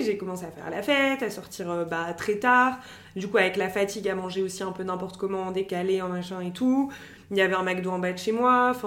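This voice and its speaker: This woman talks at a moderate pace with ordinary pitch variation. Room echo is audible. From France, Algerian family. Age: 30s. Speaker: e-commerce manager. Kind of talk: personal testimony interview.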